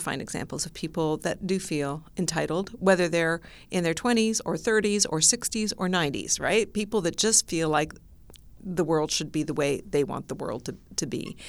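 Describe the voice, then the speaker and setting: In a Canadian accent, a woman with a plain, everyday voice speaks at a fairly low pitch and moderate pace with ordinary pitch variation on a very clean recording with a silent background. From immigrated to Canada very young. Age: 60s. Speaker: labor economist. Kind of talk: interview.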